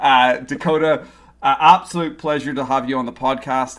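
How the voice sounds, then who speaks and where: A man with an Irish accent talks at a fairly quick pace and a medium pitch, keeping his intonation fairly even. The recording is very clean with a silent background. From Ireland. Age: 40s. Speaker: podcast host. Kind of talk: interview.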